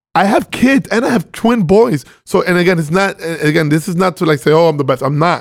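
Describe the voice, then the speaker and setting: Pitched high, a man's voice moves at a fairly quick pace. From Venezuela. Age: 30s. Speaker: crypto investor. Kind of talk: casual chat.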